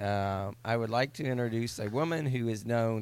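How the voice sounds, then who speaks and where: A man talks in an ordinary speaking voice. His pitch is medium and his pace fairly slow. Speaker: podcast host. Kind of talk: casual comedic chat.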